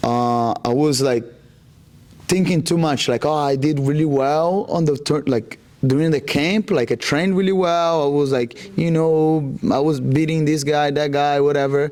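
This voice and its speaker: A man talks at a moderate pace with a fairly high pitch and ordinary pitch variation. His loudness stays very even throughout. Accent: Brazilian. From Brazil, Rondônia. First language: Portuguese. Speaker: jiu-jitsu athlete. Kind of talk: interview. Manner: halting, many fillers.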